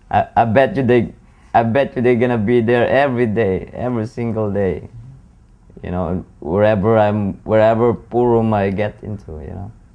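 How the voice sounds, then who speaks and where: Dark, mellow tone from a man at a medium pitch and moderate pace, with ordinary pitch variation and big swings in loudness. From Philippines. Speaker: pool player. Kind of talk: interview.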